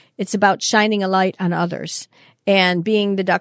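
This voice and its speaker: Speaking at a fairly quick pace in a Chicago accent, a woman holds a medium pitch with monotone, flat intonation, the sound dry and close with no echo on a very clean recording with a silent background. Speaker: customer experience consultant and author. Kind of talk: interview conversation.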